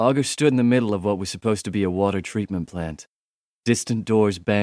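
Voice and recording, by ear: Reading aloud in a natural voice with ordinary pitch variation, the speaker is heard over a quiet background.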